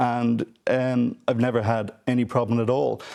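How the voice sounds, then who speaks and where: With a Dublin accent, a man speaks at a medium pitch in a dark, mellow tone. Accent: Dublin Irish. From Ireland, Dublin. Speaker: theatre executive producer. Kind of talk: TV panel discussion.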